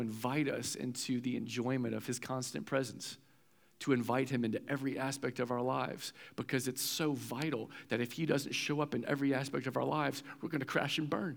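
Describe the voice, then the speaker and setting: A man talks fairly quickly at a medium pitch with vocal fry and fairly even intonation. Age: 30s. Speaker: pastor. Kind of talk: sermon.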